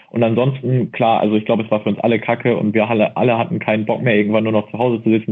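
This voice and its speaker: This man's voice is fairly low and his delivery very fast. He keeps a flat, monotone intonation throughout. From Baden-Württemberg, near Mannheim. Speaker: study tips creator. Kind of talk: casual chat.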